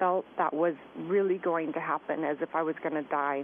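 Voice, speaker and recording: A woman in an unremarkable speaking voice with an American accent and ordinary pitch variation. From Southern California. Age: 40s. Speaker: author and skincare entrepreneur. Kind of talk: radio interview. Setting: phone call.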